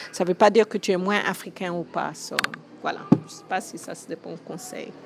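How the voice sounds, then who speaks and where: A woman speaks at a medium pitch with ordinary pitch variation, and noticeable background noise is present. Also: moderate pace, big swings in loudness. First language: English (speaking French). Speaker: school founder. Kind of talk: interview. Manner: hesitant, many fillers.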